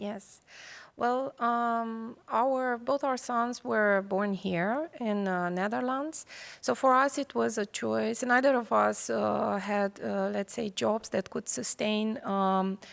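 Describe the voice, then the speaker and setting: A woman with a Romanian accent, fairly high pitch and ordinary pitch variation at a very slow pace, in a very clean recording with a silent background. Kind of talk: panel discussion.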